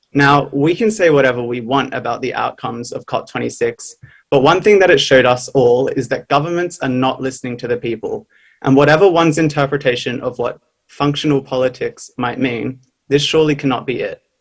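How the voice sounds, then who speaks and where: A man with an Australian accent talks at a fairly quick pace in a fairly high pitch. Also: ordinary pitch variation. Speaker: youth climate activist speaker. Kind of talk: prepared speech. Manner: formal.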